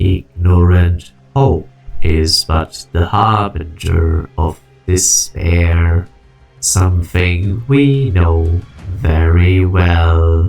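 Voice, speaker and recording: A man uses a put-on character voice with a very deep, low pitch. He goes at a very slow pace as faint music plays in the background. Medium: dub.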